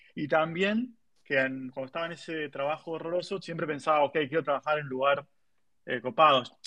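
A man with a normal speaking voice talks at a fairly quick pace. His pitch is fairly high, with ordinary variation. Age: 30s. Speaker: tech marketing professional. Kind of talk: interview. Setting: online audio room.

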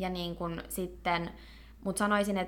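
Her bright, sharp voice sits fairly low for a woman, with vocal fry, fairly even intonation and a moderate pace. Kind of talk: casual interview. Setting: studio.

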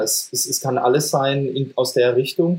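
This man's voice sits at a medium pitch, with a dark, mellow tone and a somewhat breathy quality. He talks at a moderate pace with monotone, flat intonation. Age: 40s. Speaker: metal band singer and guitarist. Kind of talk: casual chat.

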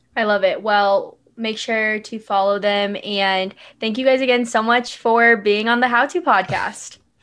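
An ordinary speaking voice with an American accent, fairly even intonation, a fairly slow pace, hardly any pauses and a quiet background. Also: woman, fairly high pitch for a woman. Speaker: podcast host. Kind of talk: casual chat.

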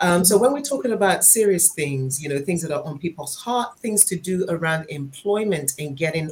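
A woman speaks with a Nigerian accent at a moderate pace. Her fairly low voice swings very widely in pitch. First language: Yoruba. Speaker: podcast co-host. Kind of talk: live-streamed podcast discussion.

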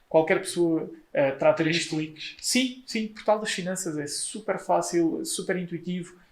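A man talks at a fairly slow pace with hardly any pauses. His pitch is high, with ordinary variation. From Portugal, Leiria. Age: 20s. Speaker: solicitor. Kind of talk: interview. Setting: office.

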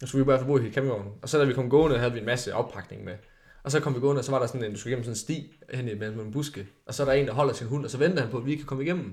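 A somewhat breathy man speaks at a medium pitch. He goes at a very fast pace with ordinary pitch variation. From Denmark, Jutland (Haldum). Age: 20s. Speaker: farmer, reality TV participant. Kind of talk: casual chat.

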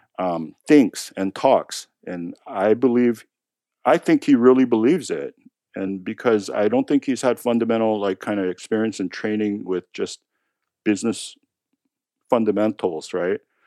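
A dark, mellow tone at a moderate pace with ordinary pitch variation, in a dry, close sound with no echo on a very clean recording with a silent background. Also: man, medium pitch for a man. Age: 50s. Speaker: tech executive and poker player. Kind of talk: interview. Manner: hesitant, many fillers.

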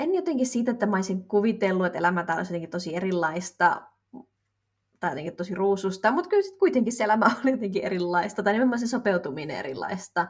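At a very fast pace, a woman talks with lively intonation. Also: medium pitch for a woman. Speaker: podcast co-host. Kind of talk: casual chat.

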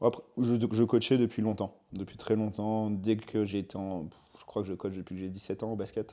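Here a man speaks in a fairly low pitch with a dark, mellow tone. His pace is moderate and his intonation fairly even. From southern France (Var). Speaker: fitness coach. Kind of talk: casual interview.

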